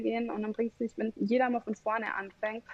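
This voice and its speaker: The delivery is monotone and flat at a fairly quick pace, in a dry, close sound with no echo. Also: woman. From Bavaria, Germany. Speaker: customer relationship manager. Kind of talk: podcast interview.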